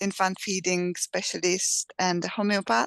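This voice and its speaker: Against a quiet background, a woman with a Czech accent speaks at a medium pitch with fairly even intonation, the sound dry and close with no echo. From Czech Republic. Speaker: midwife. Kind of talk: interview. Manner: halting.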